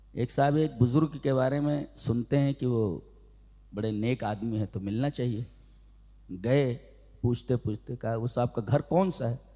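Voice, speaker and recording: This man's voice has a dark, mellow tone, a medium pitch and ordinary pitch variation. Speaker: Islamic scholar giving a sermon. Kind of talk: religious sermon (bayan), lecture to an audience.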